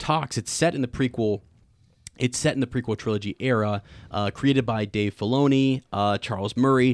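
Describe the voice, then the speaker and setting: This very clean recording has a silent background and a dry, close sound with no echo. A man speaks at a moderate pace. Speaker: podcast host. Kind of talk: casual chat.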